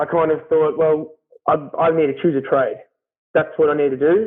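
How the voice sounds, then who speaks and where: With an Australian accent, a man talks in a monotone, flat intonation. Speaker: carpenter. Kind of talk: casual interview chat. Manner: loud; hesitant, many fillers.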